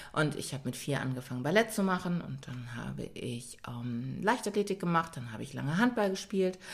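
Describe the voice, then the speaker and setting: A woman's very deep, low voice with vocal fry, very wide pitch swings, big swings in loudness, a fairly quick pace and hardly any pauses. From Germany. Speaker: yoga and pilates trainer. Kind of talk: casual chat.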